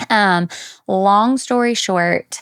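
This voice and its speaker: With a Southern US accent, a woman speaks at medium pitch and ordinary pitch variation, her sound dry and close with no echo. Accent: Southern US (Georgia). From US South, South Georgia. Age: 30s. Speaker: women's health nurse practitioner. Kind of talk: podcast interview. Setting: podcast studio, in person.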